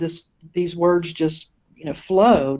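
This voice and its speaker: A woman with a Southern US accent. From eastern North Carolina, US South. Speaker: minister. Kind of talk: interview.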